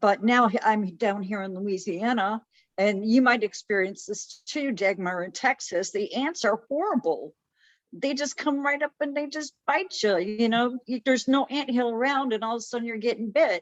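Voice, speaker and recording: A woman with an American accent speaks in a plain, everyday voice, fairly high in pitch. Her intonation is lively, her pace moderate, and the sound dry and close with no echo. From Chicago. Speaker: podcast co-host. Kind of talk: casual chat.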